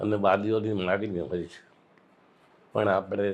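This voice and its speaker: This is a man with a fairly low pitch. His intonation is monotone and flat. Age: 80s+. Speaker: retired school principal and educationist. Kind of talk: interview answer.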